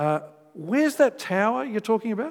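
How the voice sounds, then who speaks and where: Speaking with an Australian accent, a man uses a high pitch. His pace is fairly quick. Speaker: pastor. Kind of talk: sermon. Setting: church.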